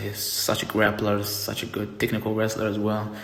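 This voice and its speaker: Against noticeable background noise and audible room echo, a man with a non-native accent talks at a fairly quick pace in a monotone, flat intonation. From outside the US. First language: not English. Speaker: wrestling reviewer. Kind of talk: casual review monologue. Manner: halting, repeats words. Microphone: poor audio, mic charger broken.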